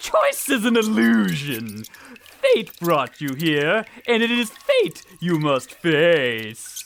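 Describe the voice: A put-on character voice with very wide pitch swings, vocal fry and a slow pace.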